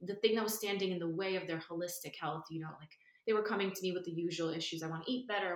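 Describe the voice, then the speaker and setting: A woman's fairly low voice with an American accent, very fast pace, fairly even intonation and noticeable background noise. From New York. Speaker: nervous system and breathwork coach. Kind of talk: casual interview.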